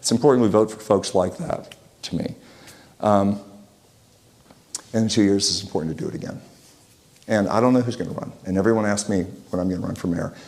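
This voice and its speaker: Amid noticeable background noise, a man with a fairly low voice talks at a fairly quick pace, with ordinary pitch variation and long, frequent pauses. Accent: American. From Utah. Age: 60s. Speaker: local business owner and civic speaker. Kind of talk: talk to a community group. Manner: halting, many restarts.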